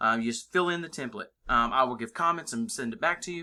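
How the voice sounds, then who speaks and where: A man speaking at a fairly quick pace with ordinary pitch variation against a quiet background. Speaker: college English instructor. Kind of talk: screencast tutorial. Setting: screen recording. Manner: casual with many fillers; fast. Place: home room. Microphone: webcam.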